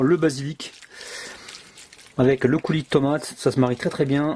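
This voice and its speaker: A man speaks over noticeable background noise. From southwest France (Gers). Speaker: cooking video host. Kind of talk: cooking tutorial. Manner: animated.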